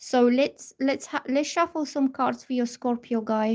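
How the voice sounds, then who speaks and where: The pitch variation is ordinary. The recording is very clean, with a silent background. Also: woman. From Bulgaria. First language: Bulgarian. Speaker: tarot reader. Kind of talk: live stream tarot reading chat. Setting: live stream at a table.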